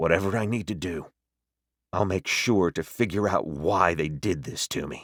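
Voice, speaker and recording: In a put-on character voice, a man growls at a very deep, low pitch with ordinary pitch variation and a moderate pace, on a very clean recording with a silent background. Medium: read story.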